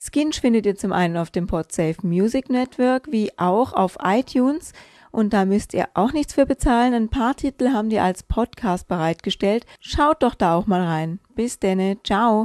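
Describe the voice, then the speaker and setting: Recorded with a dry, close sound with no echo against a quiet background, a woman with a fairly high voice speaks fairly slowly and with hardly any pauses, her intonation lively and her loudness very even. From northern Germany. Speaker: podcast host. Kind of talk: casual podcast talk.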